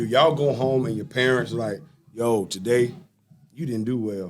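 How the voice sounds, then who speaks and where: Over music in the background, a man with an American accent talks at a medium pitch with ordinary pitch variation. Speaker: sports podcast host. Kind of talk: casual interview chat. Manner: loud; animated.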